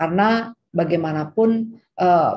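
A woman with a dark, mellow tone, somewhat breathy, with ordinary pitch variation. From Indonesia. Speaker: medical school dean, professor; guest lecturer. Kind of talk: lecture. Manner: hesitant with fillers. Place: home room. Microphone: video call.

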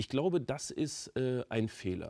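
Over a quiet background, the man's tone is dark and mellow. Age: 40s. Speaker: author and entrepreneur; talk show guest. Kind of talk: talk show interview. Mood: calm, confident, provocative. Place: studio. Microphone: lapel.

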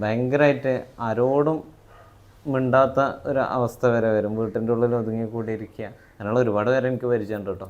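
Here a man speaks in a medium pitch. The melody of his speech remains fairly even. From Malappuram, Kerala (Parappanangadi). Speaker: counselling psychologist and trainer. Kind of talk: casual interview chat.

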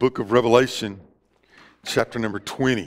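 A man with a Southern US accent and fairly even intonation. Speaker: Baptist pastor. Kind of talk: church sermon. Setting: church service with live congregation. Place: church.

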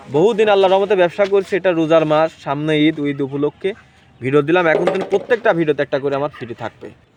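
A man talks at a fairly high pitch with ordinary pitch variation. Noticeable background noise is present. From Bangladesh, Pabna (Ishwardi). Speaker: dairy farmer and cattle seller. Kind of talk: sales pitch.

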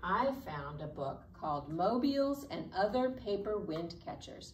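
A woman talks at a fairly slow pace amid light background noise and audible room echo. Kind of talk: children's program presentation. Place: classroom. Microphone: camera far.

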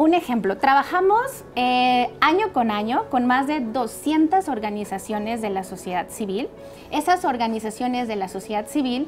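Faint music plays in the background as a woman talks at a fairly slow pace in a high voice. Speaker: guest. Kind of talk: interview answer. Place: studio. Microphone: lapel.

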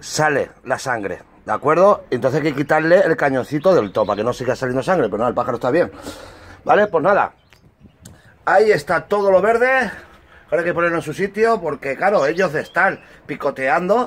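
A high-pitched man's voice with very wide pitch swings. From Spain. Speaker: bird breeder and YouTuber; YouTuber. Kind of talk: casual hobby tutorial video. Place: garden. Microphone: camera far.

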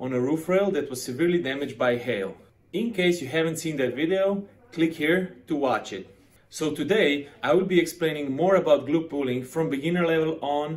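A man's voice at a moderate pace, with ordinary shifts in pitch. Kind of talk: tutorial. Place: home room.

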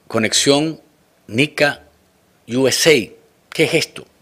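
Against a quiet background, someone talks very slowly. The pitch varies in an ordinary way. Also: man. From Nicaragua. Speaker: news talk show host. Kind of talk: political interview show. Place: studio. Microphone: studio mic.

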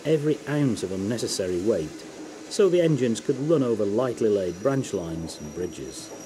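A man with a British RP accent talks at a moderate pace and medium pitch. His pitch swings very widely, and there is noticeable background noise. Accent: British English, received-style. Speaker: documentary narrator. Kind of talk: scripted documentary narration. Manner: formal, measured, authoritative.

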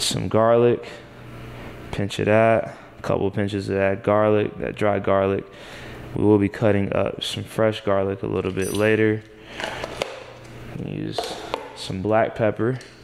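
Light background noise sits behind a man speaking at a fairly slow pace. His delivery is monotone and flat, with long, frequent pauses. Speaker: home cook host. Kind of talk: tutorial. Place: kitchen.

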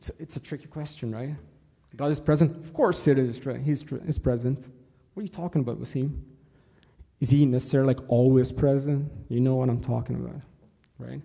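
Against a quiet background, a man with a dark, mellow, somewhat breathy tone speaks at a fairly quick pace with fairly even intonation, big swings in loudness, and long, frequent pauses. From Egypt. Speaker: church servant giving a talk. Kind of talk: sermon. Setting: church. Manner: halting, many fillers. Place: church.

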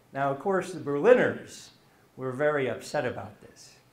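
The voice has ordinary pitch variation and a moderate pace. Audible room echo surrounds it. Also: man. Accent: American. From US. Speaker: history professor; lecturer. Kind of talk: lecture. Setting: stage with audience. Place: classroom. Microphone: camera far.

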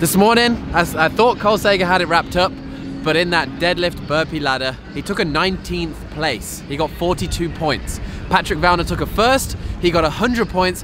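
Noticeable background noise accompanies a dry sound with no echo. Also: man, high pitch for a man, ordinary pitch variation, moderate pace. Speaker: vlogger. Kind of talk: casual vlog chat. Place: waterside. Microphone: phone near.

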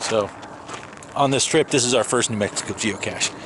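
Recorded with a dry sound and no echo, a man speaks with ordinary pitch variation over noticeable background noise. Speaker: travel vlogger. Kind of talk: casual vlog chat. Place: open country. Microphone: phone near.

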